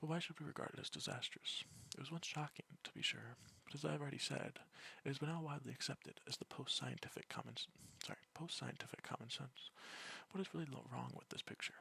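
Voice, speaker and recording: The soft-spoken voice moves at a very fast pace. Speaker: student. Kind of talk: philosophy text reading.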